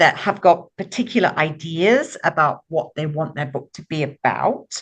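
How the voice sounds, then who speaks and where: A woman speaks with lively intonation at a moderate pace, in an ordinary speaking voice. The background is quiet. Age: 60s. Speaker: author and book publisher. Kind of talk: podcast interview.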